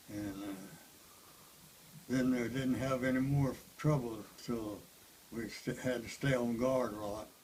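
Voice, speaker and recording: A man speaks at a fairly slow pace in a Southern US accent, with long, frequent pauses. His pitch is medium and his intonation fairly even. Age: 80s+. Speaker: war veteran. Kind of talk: interview answer.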